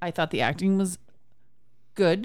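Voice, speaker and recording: A very clean recording with a silent background, featuring a woman at a moderate pace. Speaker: movie podcast host. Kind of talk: casual chat.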